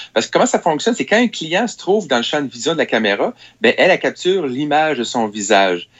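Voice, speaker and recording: A man with a Quebec accent talks at a fairly quick pace, his pitch swinging very widely. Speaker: technology columnist. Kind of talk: radio chronicle.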